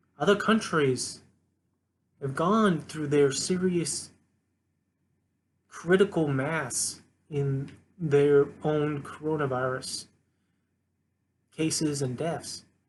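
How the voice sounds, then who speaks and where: A somewhat breathy man with an American accent, fairly high in pitch, ordinary pitch variation, very slow pace and long, frequent pauses. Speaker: political commentary vlogger. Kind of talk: solo rant monologue. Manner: halting, some stuttering; impassioned.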